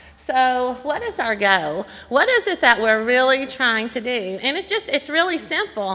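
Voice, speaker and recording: A woman's raised, projected voice, high and bright with a sharp tone, at a moderate pace. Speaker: nursing home culture change director. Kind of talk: conference presentation. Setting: conference breakout session with audience.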